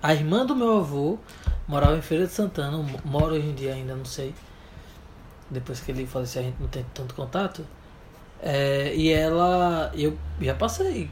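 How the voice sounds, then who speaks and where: A man's fairly high voice at a moderate pace, with ordinary pitch variation, long, frequent pauses and audible room echo. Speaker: podcast co-host. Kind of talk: casual chat. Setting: home bedroom.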